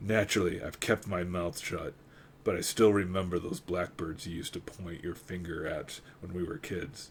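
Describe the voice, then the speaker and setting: A man puts on a character voice, rumbling at a very deep, low pitch with ordinary pitch variation. He speaks at a moderate pace over clear background noise. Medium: read story. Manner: gruff, skeptical.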